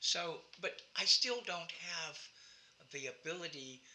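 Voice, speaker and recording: There is noticeable background noise here. Over it, a man talks at a high pitch. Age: 70s. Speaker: actor. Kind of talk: interview. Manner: halting.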